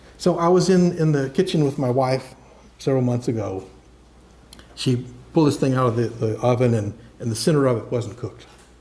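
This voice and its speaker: Somewhat breathy and dark, mellow in tone, a man speaks at a fairly quick pace with long, frequent pauses, ordinary pitch variation, and audible room echo. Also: medium pitch for a man. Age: 70s. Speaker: software engineer giving a talk. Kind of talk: lecture. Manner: casual, conversational with fillers and repetitions.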